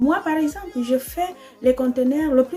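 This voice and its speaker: A woman with an Equatorial Guinean accent speaks at a high pitch and fairly slow pace with ordinary pitch variation, over noticeable background noise. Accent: African, Spanish-speaking. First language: Spanish (speaking French). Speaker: trader shipping containers. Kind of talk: casual vlog. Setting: in her bedroom. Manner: hesitant, many fillers.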